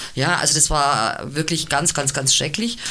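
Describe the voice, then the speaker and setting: Against noticeable background noise, a woman with a very deep, low pitch speaks at a moderate pace. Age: 50s. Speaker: cabaret artist and double bassist. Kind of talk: casual chat.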